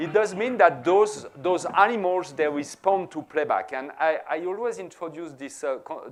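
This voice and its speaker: A man with a French accent speaks at a fairly slow pace. His voice is high, with lively intonation. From France. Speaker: professor. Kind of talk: lecture.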